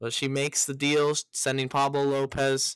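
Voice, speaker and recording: A man with an American accent at medium pitch, fairly slow and monotone, on a very clean, dry, close recording with a silent background and no echo. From US West Coast. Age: 20s. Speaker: sports podcast host. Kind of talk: podcast monologue. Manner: halting.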